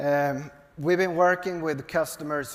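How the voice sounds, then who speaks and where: In a Swedish accent, a man with a fairly high pitch talks at a fairly slow pace with ordinary pitch variation, and the room echo is audible. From Sweden. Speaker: software company executive. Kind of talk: onstage interview. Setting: stage with audience. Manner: halting.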